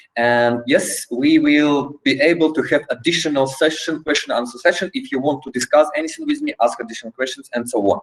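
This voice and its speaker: A man with a fairly high voice talks at a fairly quick pace, with hardly any pauses and ordinary pitch variation. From Poland. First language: Polish. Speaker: trainer. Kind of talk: online training session. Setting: video call. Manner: halting.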